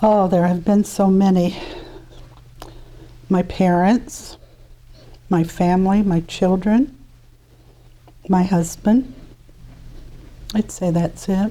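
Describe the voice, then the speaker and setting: A woman with an American accent at a very slow pace, with long, frequent pauses and ordinary pitch variation. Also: medium pitch for a woman, very even loudness. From US Midwest, Indianapolis, Indiana. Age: 70s. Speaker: interviewee, retired flight attendant. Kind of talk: interview. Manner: hesitant, with many fillers.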